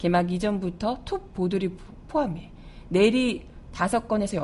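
Delivery here is very slow. A dark, mellow tone colors every word. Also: woman. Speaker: radio news show host and announcer. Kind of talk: news commentary. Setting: studio. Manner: loud; animated.

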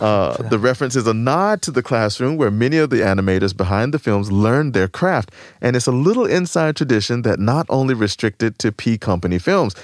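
A man with an unremarkable speaking voice talks at a fairly quick pace with lively intonation, very even loudness and hardly any pauses, in a dry, close sound with no echo on a very clean recording with a silent background. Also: medium pitch for a man. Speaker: radio host. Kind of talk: radio show banter between co-hosts. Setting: radio studio broadcast.

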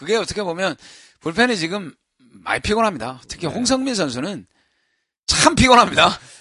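At a moderate pace, a man uses a raised, projected voice that is high and bright, sharp in tone, swinging very widely in pitch, with long, frequent pauses. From Busan, South Korea. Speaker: baseball podcast co-host. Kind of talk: casual chat.

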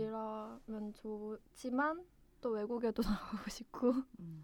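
Very slowly, a woman talks with fairly high pitch. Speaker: newly hired civil servant. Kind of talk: interview. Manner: hesitant, many fillers.

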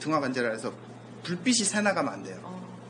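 A man's high voice rises and falls in very wide swings. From South Korea, rural area. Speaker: sports scientist and lecturer. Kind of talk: casual interview.

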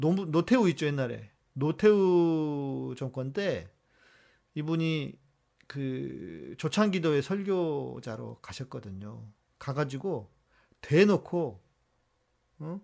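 Against a quiet background, a man with a fairly high pitch and a dark, mellow tone talks very slowly with lively intonation and long, frequent pauses. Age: 50s. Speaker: pastor hosting a Q&A livestream. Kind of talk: live Q&A stream reading viewer questions.

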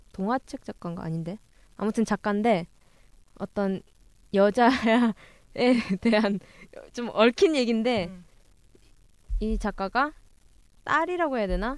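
A woman with fairly high pitch and lively intonation speaks at a very slow pace with long, frequent pauses. The recording is very clean, with a silent background and a dry, close sound with no echo. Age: 20s. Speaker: webtoon fan community staff, co-host. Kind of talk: casual chat.

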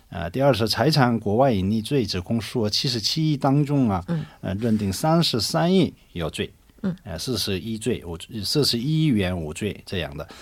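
A man with a Korean accent at a medium pitch, making very wide pitch swings at a moderate pace. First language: Korean (speaking Chinese). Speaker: lawyer. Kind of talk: radio panel discussion. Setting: studio. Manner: halting, many fillers.

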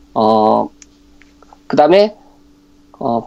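A man talks at a fairly slow pace with very wide pitch swings, over noticeable background noise. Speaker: sports commentator. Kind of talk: radio sports talk.

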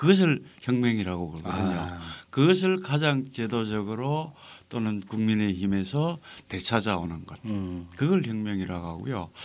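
Moderate pace, very wide pitch swings and big swings in loudness on a very clean recording with a silent background. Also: man, fairly low pitch for a man. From North Gyeongsang, South Korea. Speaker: novelist. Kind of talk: podcast interview.

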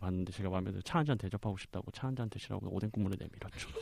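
A man talks very fast in a dark, mellow tone with ordinary pitch variation. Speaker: podcast guest. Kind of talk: casual chat.

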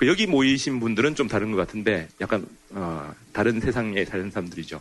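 This voice belongs to a man. He has a slight North Korean accent. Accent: slightly North Korean-sounding speech. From South Korea. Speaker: North Korea science historian. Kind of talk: lecture.

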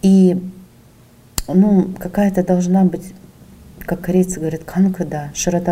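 A woman with a fairly low pitch. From Sakhalin, Russia. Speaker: entrepreneur. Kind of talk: interview.

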